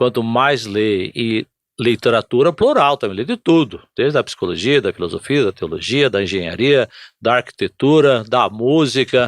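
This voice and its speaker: A man talks at a moderate pace in an ordinary speaking voice, with ordinary pitch variation and a medium pitch. The background is quiet, and the sound is dry and close with no echo. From Brazil, São Paulo state (Presidente Prudente). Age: 60s. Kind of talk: podcast interview.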